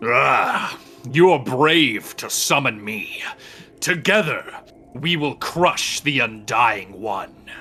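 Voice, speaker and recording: Using a put-on character voice pitched fairly high, a man speaks very slowly over faint background music. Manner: commanding, solemn.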